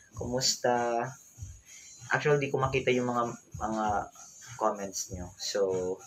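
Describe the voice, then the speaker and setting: A man speaks at a fairly slow pace with long, frequent pauses and ordinary pitch variation. Noticeable background noise runs behind him. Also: medium pitch for a man. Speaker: vlogger. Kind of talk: casual livestream chat. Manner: loud.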